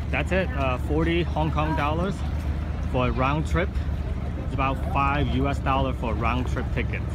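A man's voice comes through dry, with no echo. Loud background noise surrounds it. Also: moderate pace. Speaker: travel vlogger. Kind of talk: casual vlog chat. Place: boat. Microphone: phone near.

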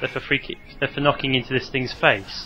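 A man's fairly high-pitched, fairly quick voice over noticeable background noise. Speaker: let's play commentator. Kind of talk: casual gameplay commentary. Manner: halting, somewhat incoherent.

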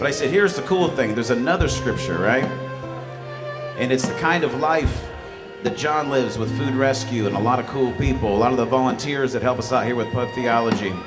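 Clear music plays behind the voice. The speaker is a man. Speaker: event host giving a talk. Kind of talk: sermon. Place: bar. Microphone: studio mic.

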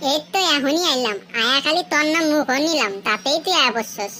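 A woman's cartoonish character voice, high in pitch, at a fairly quick pace with lively intonation. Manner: chatty, colloquial.

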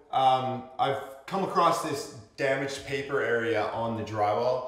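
Audible room echo fills the space. A man's voice carries through it. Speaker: construction instructor. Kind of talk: tutorial. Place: home room.

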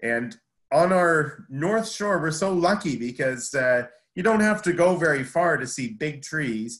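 Against a quiet background, a man talks at a fairly slow pace. His intonation is lively. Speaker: horticulture instructor presenting. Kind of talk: lecture. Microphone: video call.

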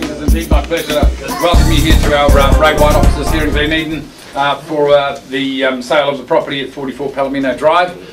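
A man talking at a very fast pace with hardly any pauses over clear background music. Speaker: auctioneer. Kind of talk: property auction opening, reading conditions of sale. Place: office. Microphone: camera far.

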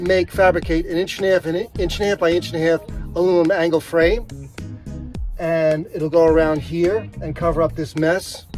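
A man's high-pitched voice with fairly even intonation, a dry sound with no echo and faint music in the background. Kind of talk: tutorial. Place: garden. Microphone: phone near.

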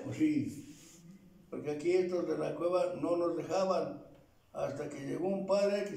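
In a room with audible echo, a man with a high voice for his sex talks very slowly, his pitch varying in an ordinary way. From Tlaxcala, Mexico. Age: 80s+. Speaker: elderly local narrator. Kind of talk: oral history interview answer. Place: home room. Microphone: camera far.

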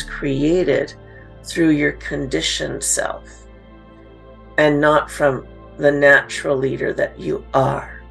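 Faint music plays in the background. The speech goes at a fairly slow pace. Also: woman. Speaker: podcast host, coach. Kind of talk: podcast monologue. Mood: calm, earnest.

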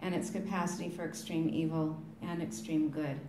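A woman talks at a moderate pace with ordinary pitch variation. Noticeable background noise runs behind her. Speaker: museum representative. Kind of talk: funeral speech and letter reading. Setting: funeral with audience.

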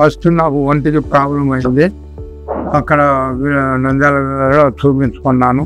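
A man with a fairly high pitch and monotone, flat intonation, with faint music in the background. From Nandyal, Kurnool district, Andhra Pradesh, India. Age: 70s. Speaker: retired army man, cancer patient. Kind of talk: patient testimonial. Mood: calm, matter-of-fact.

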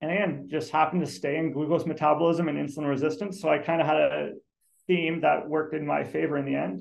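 A man talks at a very fast pace in a fairly high pitch, with vocal fry. His pitch variation is ordinary, and the background is quiet. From Ontario, Canada. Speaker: scientist; guest. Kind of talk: career talk presentation. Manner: conversational. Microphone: video call.

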